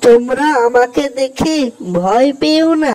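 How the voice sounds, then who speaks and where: The voice is a cartoonish character voice. Its pitch is high. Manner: kind, soothing.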